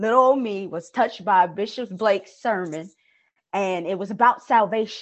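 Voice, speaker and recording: At a moderate pace, a woman speaks in a normal speaking voice with fairly high pitch and lively intonation. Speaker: guest co-host. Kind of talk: casual religious discussion.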